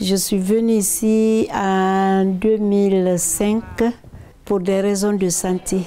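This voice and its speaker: A woman's medium-pitched, monotone, flat delivery at a very slow pace, with very even loudness, noticeable background noise and audible room echo. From Guinea. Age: 70s. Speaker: association president. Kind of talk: testimony.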